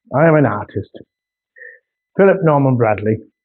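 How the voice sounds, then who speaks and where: Lively in intonation, a man speaks at a medium pitch in a North Yorkshire accent. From northern England, North Yorkshire. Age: 60s. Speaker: artist. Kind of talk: casual video monologue.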